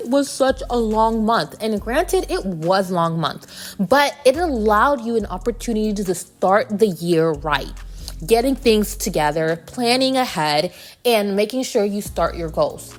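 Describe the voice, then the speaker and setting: There is noticeable background noise as a woman speaks at a moderate pace in a fairly high pitch. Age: adult. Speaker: podcast host. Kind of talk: personal vlog monologue. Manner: casual, conversational.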